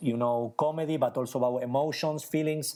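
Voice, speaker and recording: Speaking with an Argentine accent, a man uses a fairly high pitch. His tone is dark and mellow. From Argentina. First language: Spanish. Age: 40s. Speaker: magician. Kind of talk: interview conversation. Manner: halting, searching for words.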